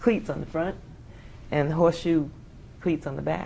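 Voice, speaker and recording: A woman speaks with an American accent. Her voice carries audible room echo. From New York City, Bronx. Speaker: Air Force veteran. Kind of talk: oral history interview. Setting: conference.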